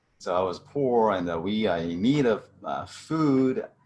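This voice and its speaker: With a Chinese accent, a man speaks using lively intonation. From central China. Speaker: chemistry professor. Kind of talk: testimony. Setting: video call. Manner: halting.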